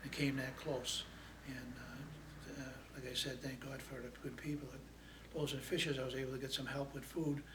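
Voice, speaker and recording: Audible room echo surrounds a man speaking fairly quickly at medium pitch in a flat monotone. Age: 70s. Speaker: food pantry client. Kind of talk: testimony. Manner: halting.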